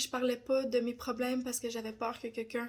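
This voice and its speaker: In a Quebec accent, a woman speaks with a high pitch at a fairly slow pace on a very clean recording with a silent background. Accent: Québécois French. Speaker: personal development content creator. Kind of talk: personal testimony. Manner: hesitant, many fillers.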